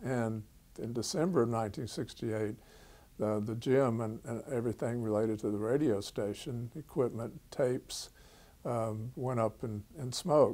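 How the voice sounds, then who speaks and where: At a moderate pace, a man speaks at medium pitch in a dark, mellow tone with ordinary pitch variation. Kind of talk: interview answer.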